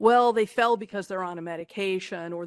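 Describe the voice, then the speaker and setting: An unremarkable speaking voice moves at a fairly quick pace with ordinary pitch variation, recorded with a dry, close sound with no echo against a quiet background. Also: woman. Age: 60s. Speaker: geriatrics professor and panel moderator. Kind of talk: conference presentation. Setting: stage with audience. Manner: conversational.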